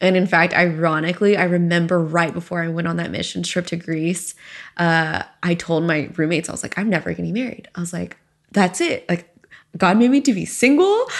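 Using a normal speaking voice, a woman with an American accent talks at a fairly quick pace in fairly low pitch with ordinary pitch variation. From US South. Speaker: podcast host and startup founder. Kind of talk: interview about her life story.

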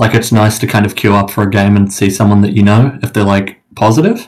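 This speaker has a New Zealand accent, talking at a fairly quick pace with fairly even intonation. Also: man. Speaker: competitive gamer. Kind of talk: casual interview. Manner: hesitant, many fillers.

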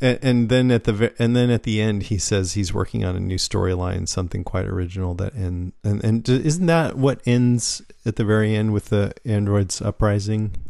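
At a moderate pace and fairly low pitch, a man talks in an ordinary speaking voice with ordinary pitch variation against a quiet background. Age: 40s. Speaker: podcast host. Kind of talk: casual chat.

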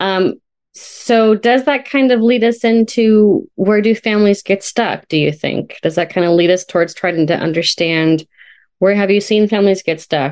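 A woman with an ordinary speaking voice, moderate pace and ordinary pitch variation, against a quiet background. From California, Sonoma County. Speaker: family therapist, podcast co-host. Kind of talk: casual professional conversation.

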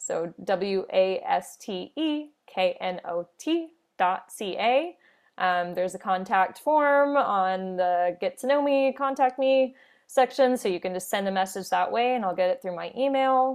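A woman with a plain, everyday voice, medium in pitch, lively intonation, and a fairly slow pace. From US, Orlando, Florida. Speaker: wedding planner. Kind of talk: interview. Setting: remote call from home office.

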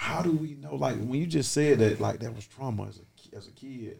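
A man talks fairly quickly in a somewhat breathy voice, his intonation lively. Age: 40s. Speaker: podcast host. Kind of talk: casual chat.

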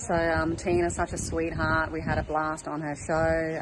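A woman talks at a moderate pace in a monotone, flat intonation, with noticeable background noise behind her. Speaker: spiritual life coach and healing musician. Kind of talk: recorded testimonial.

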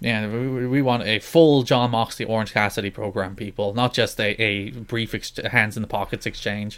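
In a plain, everyday voice, the speaker moves at a moderate pace with fairly even intonation and hardly any pauses. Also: man, medium pitch for a man. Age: young. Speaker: wrestling podcast co-host. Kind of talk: casual chat.

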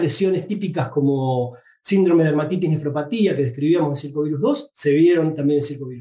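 With a Rioplatense accent, a man speaks at a moderate pace in a dark, mellow tone. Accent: Argentine (Rioplatense). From Argentina, Buenos Aires area (Tigre). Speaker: veterinary researcher. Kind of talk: interview. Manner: halting, frequent repetitions.

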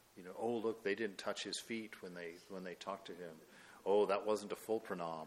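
An unremarkable speaking voice at a moderate pace. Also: man. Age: 50s. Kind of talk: spiritual talk. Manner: conversational with frequent fillers.

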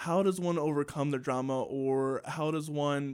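A man with an American accent and an ordinary speaking voice, fairly high in pitch, with fairly even intonation, on a very clean recording with a silent background. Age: 20s. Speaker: podcast host and musician. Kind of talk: casual interview. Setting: studio, broadcast on radio.

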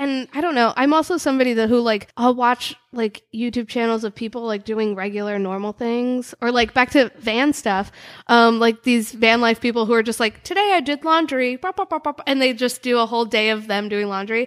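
Animated and fairly quick, a woman talks in a fairly high pitch with hardly any pauses, her sound dry and close with no echo. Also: ordinary pitch variation. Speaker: comedian. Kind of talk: casual chat. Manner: loud, animated.

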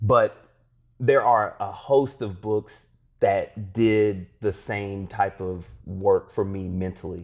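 Against a quiet background, a man with a fairly low pitch speaks at a very slow pace with fairly even intonation. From southeast Kentucky. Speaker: social entrepreneur. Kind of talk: casual chat.

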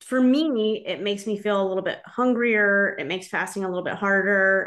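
A woman with a plain, everyday voice speaks at a medium pitch with ordinary pitch variation against a quiet background. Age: 40s. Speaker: podcast host. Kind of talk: interview.

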